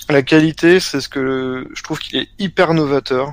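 With an ordinary speaking voice, a man at a fairly high pitch speaks at a moderate pace. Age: 20s. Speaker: card game player. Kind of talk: casual interview.

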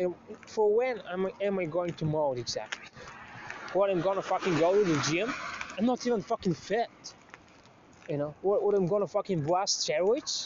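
Noticeable background noise surrounds a man speaking with long, frequent pauses. His pitch is high, with ordinary pitch variation. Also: moderate pace. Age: 30s. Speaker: vlogger. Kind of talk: monologue. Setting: outdoors.

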